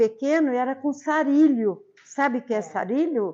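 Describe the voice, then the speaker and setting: A high-pitched woman's voice, fairly slow in pace, with lively intonation. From Brazil, São Paulo state interior. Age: 80s+. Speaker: local elder sharing memories. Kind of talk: personal storytelling.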